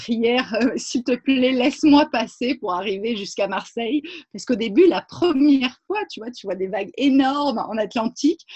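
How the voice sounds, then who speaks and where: Speaking at a fairly slow pace, a woman uses a fairly high pitch with very wide pitch swings in a dry, close sound with no echo. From Provence, southern France. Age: 30s. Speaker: founder of women's environmental initiatives. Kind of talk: interview. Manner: halting, many repetitions.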